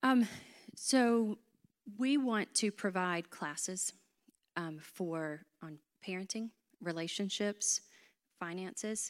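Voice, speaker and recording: On a very clean recording with a silent background and a dry, close sound with no echo, a woman of medium pitch speaks at a very slow pace with long, frequent pauses and big swings in loudness. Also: ordinary pitch variation. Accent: North Carolina. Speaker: church member, ministry leader. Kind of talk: casual interview on stage.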